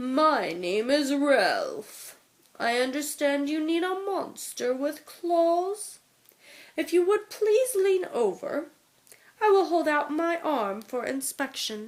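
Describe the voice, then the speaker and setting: Using a put-on character voice, a woman speaks at a very slow pace with a high pitch. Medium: read story. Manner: refined, courteous.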